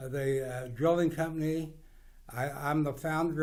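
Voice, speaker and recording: A man with a Midwestern US accent speaks at a fairly high pitch and moderate pace, with audible room echo. His intonation is monotone and flat. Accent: rural Midwestern American. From US Midwest, western Kansas. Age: 80s+. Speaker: businessman. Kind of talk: interview monologue. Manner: halting.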